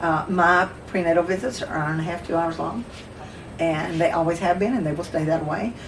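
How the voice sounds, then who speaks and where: Over noticeable background noise and audible room echo, a woman with a Southern US accent talks at a fairly quick pace in a fairly low voice with fairly even intonation. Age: 60s. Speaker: midwife. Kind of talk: casual chat.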